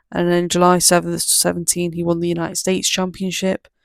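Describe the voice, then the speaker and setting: Recorded very cleanly against a silent background, the voice moves at a fairly quick pace with an English accent. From England. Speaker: wrestling YouTuber. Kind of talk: casual commentary monologue. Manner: fast; halting, many fillers.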